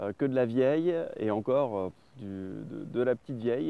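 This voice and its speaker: Ordinary pitch variation at a moderate pace. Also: man. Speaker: spearfishing vlogger. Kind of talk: outdoor vlog narration. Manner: casual with many hesitations.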